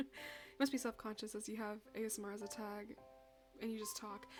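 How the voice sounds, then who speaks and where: A woman speaks softly. Her pace is fairly quick. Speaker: streamer. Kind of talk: casual chat. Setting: live stream. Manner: soft-spoken.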